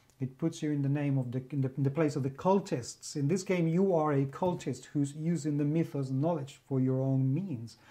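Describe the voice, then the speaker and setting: Against a quiet background, a man with a fairly high pitch and a dark, mellow tone, somewhat breathy, speaks at a moderate pace with hardly any pauses. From Spain. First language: Spanish. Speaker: game reviewer. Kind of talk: game review monologue. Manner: enthusiastic.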